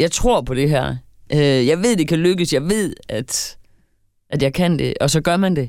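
Speaking at a very slow pace, a woman uses lively intonation in a very deep, low pitch. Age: 50s. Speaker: podcast co-host. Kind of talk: casual chat.

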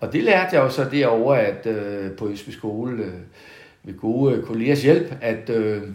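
A man talking at a very slow pace, with audible room echo. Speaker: retired school principal. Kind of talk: casual interview. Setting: at home in the countryside. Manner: halting, many repetitions.

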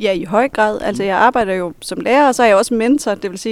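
A woman at a medium pitch with ordinary pitch variation, a plain, everyday voice. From Denmark, Vendsyssel (Hirtshals). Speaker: high school teacher and psychotherapist. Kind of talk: interview. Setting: library.

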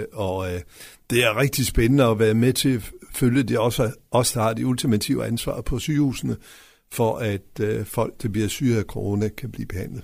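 The recording is very clean, with a silent background. A man with vocal fry talks at medium pitch and a moderate pace, with ordinary pitch variation. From West Jutland, Denmark. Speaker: local politician, mayoral candidate. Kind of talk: radio interview. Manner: halting, many fillers.

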